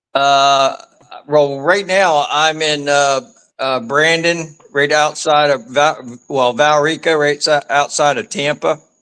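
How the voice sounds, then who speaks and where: A man speaks very slowly with an American accent and fairly even intonation. His voice has a bright, sharp tone and a fairly high pitch. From Maryland. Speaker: caller, eyewitness. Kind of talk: casual chat. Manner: halting.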